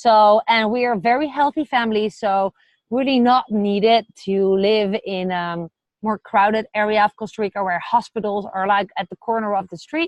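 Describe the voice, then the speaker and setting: A woman at a moderate pace, with a Dutch accent. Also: fairly high pitch for a woman, ordinary pitch variation. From Netherlands. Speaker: vlogger. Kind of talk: casual vlog talk to camera. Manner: hesitant with fillers.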